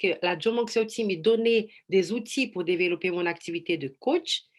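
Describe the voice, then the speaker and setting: A woman with a Brazilian accent talks at a fairly slow pace with ordinary pitch variation against a quiet background. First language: Portuguese (speaking French). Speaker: life coach. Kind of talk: online presentation. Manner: halting.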